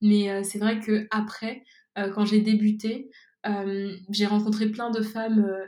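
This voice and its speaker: A woman speaks at a fairly slow pace in a fairly high pitch, her tone dark and mellow and somewhat breathy. Her intonation stays monotone and flat. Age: 20s. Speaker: entrepreneur, cosmetics brand founder. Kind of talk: interview. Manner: hesitant, many filler words.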